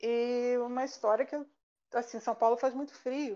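A woman speaks with a high pitch and fairly even intonation. Her pace is fairly slow, and the background is quiet. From Rio de Janeiro, Brazil. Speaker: statistician and university lecturer. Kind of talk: casual chat. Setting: live online stream.

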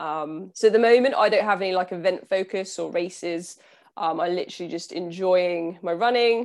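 A woman speaks at a moderate pace with a southern English accent and medium pitch. The recording is very clean, with a silent background. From southern England, Southampton. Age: 30s. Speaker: nutritionist and endurance athlete. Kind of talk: casual interview.

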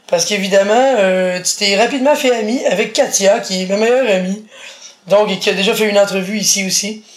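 Against noticeable background noise, a woman talks at a medium pitch and a fairly quick pace with fairly even intonation. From Quebec, Montreal. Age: 40s. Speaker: blind interviewee. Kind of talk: casual interview.

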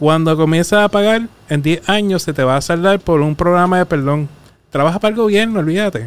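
Recorded with a dry, close sound with no echo, a man speaks at a high pitch and a moderate pace, with ordinary pitch variation. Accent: Puerto Rican. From Puerto Rico, Arroyo. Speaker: personal finance coach. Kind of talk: casual interview chat. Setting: studio.

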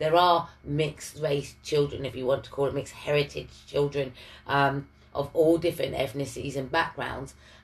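A woman talks at a fairly quick pace in a somewhat breathy voice with a very deep, low pitch. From Ipswich, Suffolk, England. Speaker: podcast host. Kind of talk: casual chat.

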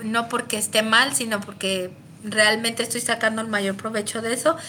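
With a central Mexican accent, a woman talks at a fairly high pitch in a bright, sharp tone and fairly even intonation. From Mexico, León, Guanajuato. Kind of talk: casual chat.

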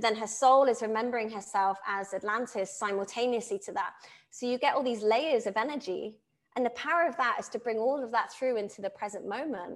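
A woman's fairly high voice at a fairly quick pace, with ordinary pitch variation. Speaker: spiritual channel and coach. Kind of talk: interview conversation. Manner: fast.

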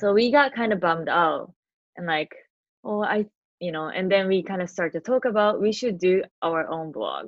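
A woman with a Japanese accent speaks at a moderate pace and medium pitch, with ordinary pitch variation. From Tokyo, Japan. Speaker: podcaster and office worker. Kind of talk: casual interview.

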